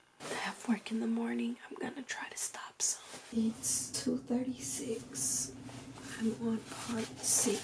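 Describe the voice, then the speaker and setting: The whispering is very slow. Background noise can be clearly heard. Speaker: book vlogger. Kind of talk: casual vlog commentary. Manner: animated.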